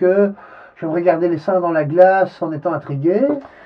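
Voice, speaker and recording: A man talks at a moderate pace with a high pitch. His intonation stays fairly even. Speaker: interviewee. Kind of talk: interview. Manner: halting.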